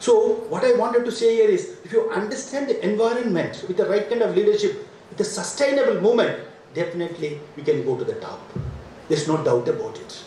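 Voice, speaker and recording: Very fast speech from a man with a South Indian accent, amid noticeable background noise and audible room echo. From India, Ooty (Nilgiris). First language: Badaga. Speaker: academic administrator, former vice chancellor. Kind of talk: speech at university inauguration. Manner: repetitive, emphatic.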